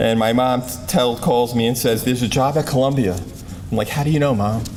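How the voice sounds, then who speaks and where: With an American accent, a man talks at a fairly quick pace and medium pitch in a space with audible room echo. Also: ordinary pitch variation. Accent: Brooklyn accent, some hear New England. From Brooklyn, New York. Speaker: athletic trainer, award recipient. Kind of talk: award acceptance speech. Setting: banquet stage with audience. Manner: halting, self-correcting.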